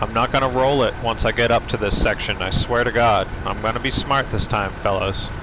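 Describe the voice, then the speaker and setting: With noticeable background noise, a man with a strong northeastern US accent talks fairly quickly, with fairly even intonation and hardly any pauses. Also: medium pitch for a man. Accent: thick northeastern US. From Maine, US. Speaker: gaming streamer. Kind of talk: live gameplay stream chat. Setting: live stream, reading chat. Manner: casual, laid back.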